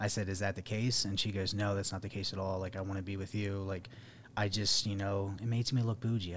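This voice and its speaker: A man speaks at a fairly quick pace in a fairly low, somewhat breathy voice. His intonation is monotone and flat. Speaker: podcast host. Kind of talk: casual podcast chat.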